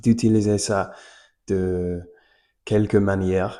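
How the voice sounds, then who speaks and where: Against a quiet background, a man speaks at a very slow pace. His voice is dark and mellow, with a very deep, low pitch. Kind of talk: casual talk to camera. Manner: hesitant, many fillers.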